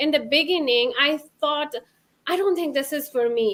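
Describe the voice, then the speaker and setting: A woman with a non-native accent uses a raised, projected voice. Her pitch is high and her tone bright and sharp. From Bhutan. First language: not English. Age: 30s. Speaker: former therapist, stay-at-home mom, online business owner. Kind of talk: interview testimony. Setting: live webinar video call. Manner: halting.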